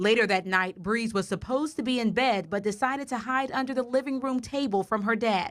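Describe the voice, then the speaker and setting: A woman with a normal speaking voice and fairly high pitch talks at a fairly quick pace with hardly any pauses and ordinary pitch variation, on a very clean recording with a silent background. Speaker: television news anchor and reporter. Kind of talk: field reporter news package voiceover.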